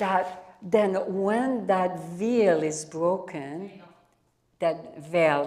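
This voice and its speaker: A medium-pitched woman's voice in a French accent. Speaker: speaker on yogic spirituality. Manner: halting, repeats words while explaining.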